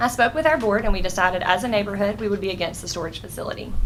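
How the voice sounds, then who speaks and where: Here a woman speaks at a very fast pace. Her pitch variation is ordinary. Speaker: neighborhood association representative speaking at public meeting. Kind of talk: public comment at county board meeting. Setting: county board meeting room.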